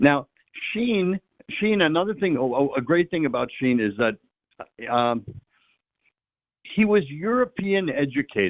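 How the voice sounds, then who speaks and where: With very wide pitch swings, a man talks at a fairly high pitch and a fairly slow pace, leaving long, frequent pauses. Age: 70s. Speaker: priest. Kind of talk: radio interview. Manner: halting, repeats words.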